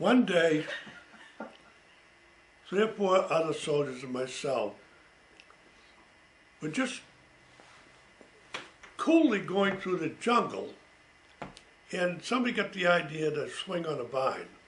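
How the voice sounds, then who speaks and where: Amid noticeable background noise, a man with a high pitch and lively intonation talks at a fairly slow pace, leaving long, frequent pauses. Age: 80s+. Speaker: World War II veteran. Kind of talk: family oral history recollection. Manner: casual, conversational.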